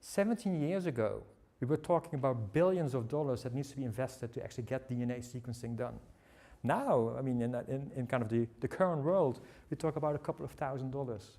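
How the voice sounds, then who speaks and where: Someone speaks with a Dutch accent at a very fast pace. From Netherlands. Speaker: tech company speaker. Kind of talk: seminar presentation. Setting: seminar with audience. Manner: halting, many fillers.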